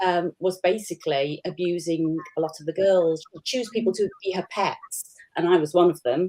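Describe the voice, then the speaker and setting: Dark, mellow tone at a moderate pace, with fairly even intonation. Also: woman, fairly low pitch for a woman. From Yorkshire, northern England. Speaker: author. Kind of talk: panel discussion. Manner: hesitant, with many fillers.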